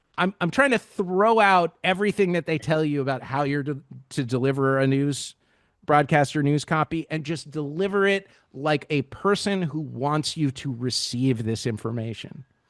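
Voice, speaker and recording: In a normal speaking voice, a man talks at a moderate pace with fairly high pitch and ordinary pitch variation against a quiet background. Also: dry, close sound with no echo. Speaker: radio news producer and anchor. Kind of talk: tutorial.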